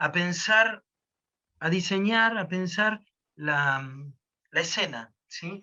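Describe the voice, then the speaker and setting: A man with a high pitch and a bright, sharp tone speaks at a very slow pace, with long, frequent pauses. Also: ordinary pitch variation, quiet background. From Argentina. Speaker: storyteller. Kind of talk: interview answer.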